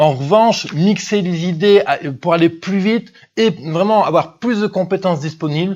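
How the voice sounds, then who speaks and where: A man talks with lively intonation. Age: 20s. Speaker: business coach and podcast host. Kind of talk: monologue podcast review. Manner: fast; hesitant, many fillers.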